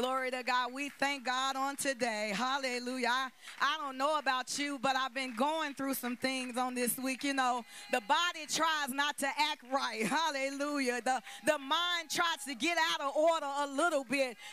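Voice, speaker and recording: A woman talks in a high voice with a dry sound and no echo, over light background noise. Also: moderate pace. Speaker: prayer leader. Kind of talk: opening prayer. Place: church. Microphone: handheld.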